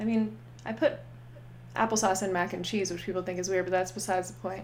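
A woman talks at a very fast pace with an American accent and vocal fry. Her voice sits at a medium pitch but makes very wide pitch swings. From Pittsburgh, Pennsylvania. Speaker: improv comedian. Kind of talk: casual chat.

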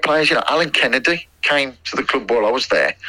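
Over noticeable background noise, a man with a fairly high pitch talks at a fairly quick pace. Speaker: former footballer. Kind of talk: interview. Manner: halting, many fillers.

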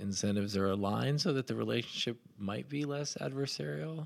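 Using a plain, everyday voice, a man speaks at a fairly low pitch with ordinary pitch variation. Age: 40s. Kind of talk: casual interview conversation.

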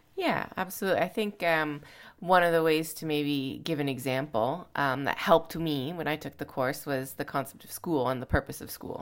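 With a Canadian accent, a woman talks at a moderate pace in a very deep, low pitch with ordinary pitch variation, on a very clean recording with a silent background. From Canada. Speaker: missionary and podcast co-host. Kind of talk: casual chat. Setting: quarantine house in Canada.

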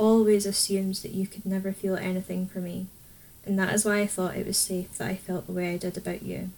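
The speaker uses a natural reading voice. That is the whole of it.

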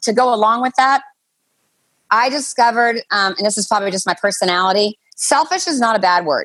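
A woman with an unremarkable speaking voice talks in a fairly high pitch with lively intonation. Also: fairly quick pace. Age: 60s. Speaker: podcast guest. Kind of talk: casual chat.

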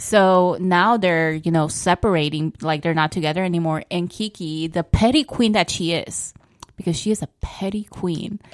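In a Spanish accent, a woman speaks at a fairly low pitch with ordinary pitch variation, recorded with a dry, close sound and no echo. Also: moderate pace. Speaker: podcast co-host. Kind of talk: casual chat.

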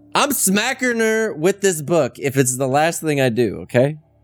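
Music plays behind speech delivered at a moderate speed. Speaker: rpg player.

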